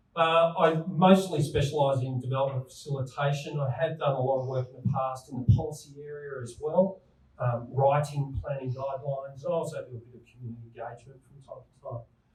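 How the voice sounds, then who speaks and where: A man with a fairly high pitch, fairly even intonation, big swings in loudness and a slight New South Wales accent. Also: fairly quick pace. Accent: slight New South Wales Australian. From New South Wales, Australia. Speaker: town planner. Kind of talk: presentation.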